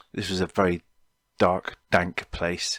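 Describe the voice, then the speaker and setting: In a Cornish accent, a man talks at a fairly slow pace on a very clean recording with a silent background. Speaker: podcaster. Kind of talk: personal storytelling podcast. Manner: halting, many fillers.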